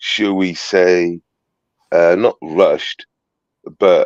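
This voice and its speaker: A man speaks with a Welsh accent. The sound is dry and close, with no echo. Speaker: citizen journalist livestreamer. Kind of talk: casual livestream chat. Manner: halting, repetitive.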